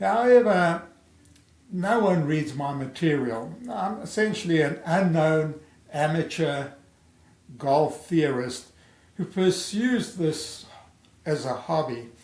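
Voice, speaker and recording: Amid audible room echo, a man speaks at a fairly high pitch and a very slow pace, with lively intonation and long, frequent pauses. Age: 70s. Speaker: amateur golf theorist, video creator. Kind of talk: personal video introduction to camera. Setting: home recording via webcam. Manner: halting, with self-corrections.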